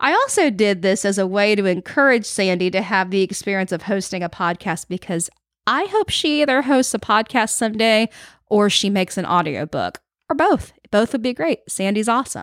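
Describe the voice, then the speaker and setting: In a Southern US accent, a woman with a medium pitch talks at a moderate pace with lively intonation, in a dry, close sound with no echo and a very clean recording with a silent background. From Florida Panhandle, Panama City. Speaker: podcast host and musician. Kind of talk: scripted podcast narration. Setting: home music room or library studio.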